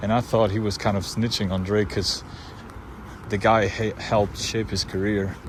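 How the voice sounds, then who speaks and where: Noticeable background noise sits behind this recording. A man speaks at a fairly low pitch with monotone, flat intonation. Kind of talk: casual vlog talk to camera.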